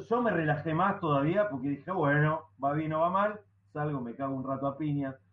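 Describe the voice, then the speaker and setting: Noticeable background noise sits under this man's voice. His pitch is fairly high, and his intonation is lively. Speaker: stand-up comedian. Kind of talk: casual chat.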